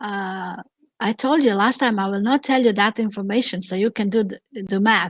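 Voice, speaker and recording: In a dry, close sound with no echo, the speaker talks at a moderate pace with ordinary pitch variation and a Croatian accent. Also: woman. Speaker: opera singer and impersonator. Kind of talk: casual chat. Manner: halting.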